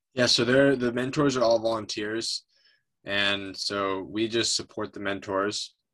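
A man with an American accent, medium in pitch, at a fairly slow pace. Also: fairly even intonation. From upstate New York. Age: 30s. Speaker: environmental nonprofit director. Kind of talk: interview.

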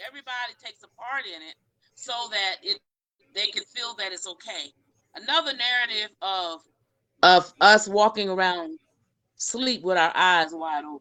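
A woman with a bright, sharp tone and medium pitch speaks at a moderate pace with lively intonation and long, frequent pauses, in a dry, close sound with no echo. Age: 60s. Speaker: talk show host. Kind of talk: panel discussion.

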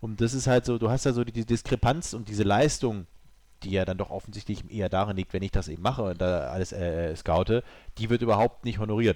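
A man with a fairly low pitch talks at a very fast pace with ordinary pitch variation. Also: very clean recording, silent background. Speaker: video game podcast guest. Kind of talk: casual chat. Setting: studio.

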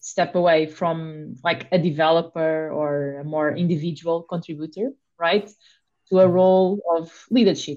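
A woman talks at a moderate pace in a normal speaking voice. Her pitch sits fairly low. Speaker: podcast co-host. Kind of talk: interview.

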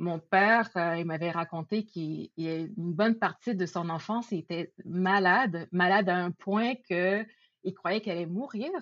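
A woman speaks at a fairly slow pace in a plain, everyday voice, with ordinary pitch variation. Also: medium pitch for a woman. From Quebec, Laval (Montreal area). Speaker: podcast guest. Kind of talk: casual chat.

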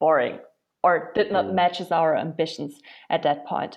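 A woman's fairly low voice at a moderate pace, with fairly even intonation. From Germany, Berlin. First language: German. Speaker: startup founder. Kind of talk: interview.

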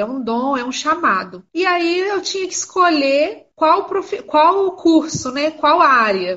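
Lively intonation marks this woman's speech. She goes at a fairly slow pace. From Brazil, Minas Gerais (Miraí). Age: 30s. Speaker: geography teacher and school coordinator. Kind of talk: casual interview. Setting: video call (Instagram live).

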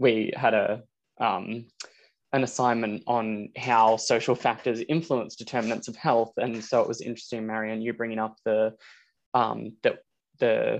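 A man with an Australian accent at a moderate pace and medium pitch, flat and monotone in intonation, over a quiet background. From Australia, rural northeast Victoria. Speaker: medical student. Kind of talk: interview.

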